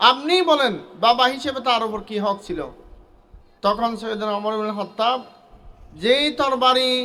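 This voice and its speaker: A man's raised, projected voice at an extremely high pitch, with lively intonation. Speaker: Islamic scholar and madrasa director giving the presidential speech. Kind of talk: religious sermon at an opening ceremony.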